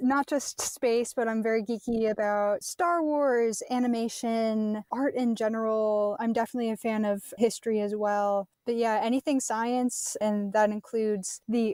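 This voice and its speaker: On a very clean recording with a silent background and a dry, close sound with no echo, a woman with a Midwestern American accent speaks fairly slowly at a fairly high pitch with ordinary pitch variation. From US Midwest. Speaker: science center worker, former NASA intern. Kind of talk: casual chat. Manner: enthusiastic.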